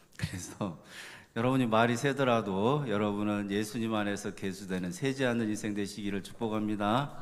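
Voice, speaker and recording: Speech comes at a moderate pace with fairly even intonation and audible room echo. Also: man, fairly low pitch for a man. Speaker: pastor. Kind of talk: sermon. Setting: church.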